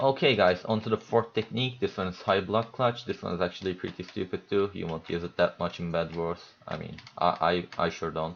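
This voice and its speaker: A man with a very deep, low pitch talks fairly quickly, with hardly any pauses and ordinary pitch variation. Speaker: video game player. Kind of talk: gameplay tutorial commentary. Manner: hesitant, stuttering.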